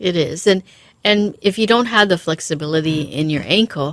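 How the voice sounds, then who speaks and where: A woman in a plain, everyday voice speaks at a moderate pace with a fairly low pitch and ordinary pitch variation, in a dry, close sound with no echo on a very clean recording with a silent background. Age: 50s. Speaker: physical therapist. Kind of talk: radio interview.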